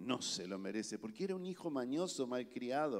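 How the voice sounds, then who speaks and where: A man with a plain, everyday voice talks at a moderate pace with lively intonation. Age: 50s. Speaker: pastor. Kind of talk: sermon.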